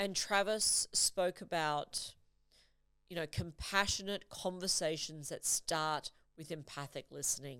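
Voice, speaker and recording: With an Australian accent, a woman of fairly low pitch speaks at a fairly slow pace in a bright, sharp tone with ordinary pitch variation, captured in a very clean recording with a silent background. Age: 40s. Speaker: podcast host and leadership coach. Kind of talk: solo podcast monologue. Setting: studio.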